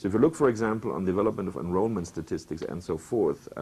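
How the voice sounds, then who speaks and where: A man with a German accent, very fast pace and lively intonation, on a very clean recording with a silent background. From Germany. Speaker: professor. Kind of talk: lecture.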